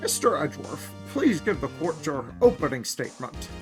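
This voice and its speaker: In a put-on character voice of low-to-middle pitch, the speaker goes at a moderate pace while music plays clearly in the background. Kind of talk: formal courtroom speech. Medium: fan dub.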